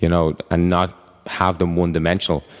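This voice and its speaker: With a Dublin accent, a man of very deep, low pitch speaks at a fairly quick pace in monotone, flat intonation. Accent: Irish (Dublin). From Ireland (Dublin). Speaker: personal trainer and gym owner. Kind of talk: casual chat. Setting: studio.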